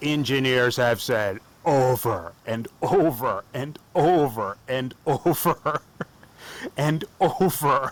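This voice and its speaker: Noticeable background noise is present. Over it, a man talks with an American accent. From United States. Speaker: off-road vlogger. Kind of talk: enthusiastic explainer video. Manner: animated.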